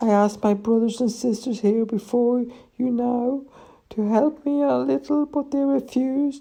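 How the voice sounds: Putting on a character voice, a man speaks at an extremely high pitch and a fairly slow pace, with vocal fry, little pitch movement and a dark, mellow tone.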